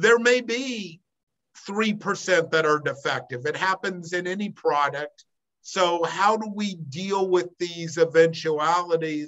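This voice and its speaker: The speech goes at a fairly slow pace with ordinary pitch variation. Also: man, high pitch for a man. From US Pacific Northwest, Portland, Oregon. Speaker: business broker. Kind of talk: interview.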